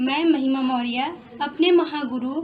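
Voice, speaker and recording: A woman speaks with a monotone, flat intonation. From Prayagraj, Uttar Pradesh, India. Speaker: network marketing member. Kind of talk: testimony.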